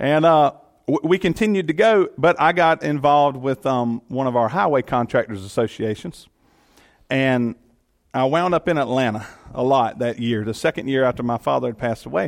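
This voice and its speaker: In a Southern US accent, a man with a medium pitch speaks at a moderate pace with lively intonation, the sound dry and close with no echo over a quiet background. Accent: Southern US (Georgia). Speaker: elected official and guest speaker. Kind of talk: sermon. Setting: church.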